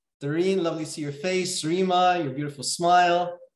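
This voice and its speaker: The voice keeps a monotone, flat intonation with audible room echo. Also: man. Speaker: webinar host, coach. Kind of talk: webinar welcome chat. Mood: warm, friendly. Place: home room. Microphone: video call.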